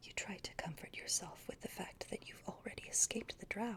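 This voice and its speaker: Whispering from a woman at a moderate pace. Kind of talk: ASMR role-play book reading. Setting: home recording with a cat in the background. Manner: soft-spoken, whispered.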